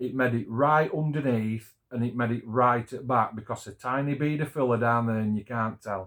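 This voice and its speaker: Captured in a very clean recording over a silent background, a man with a Yorkshire accent talks at a fairly slow pace, his medium pitch showing ordinary variation. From Yorkshire, England. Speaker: scale model builder. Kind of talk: casual talk to camera.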